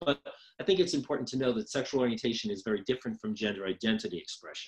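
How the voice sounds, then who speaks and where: Speaking very fast with an American accent, a man uses a medium pitch with very wide pitch swings. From New York. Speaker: social work professor. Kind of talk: lecture. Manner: hesitant with frequent ums.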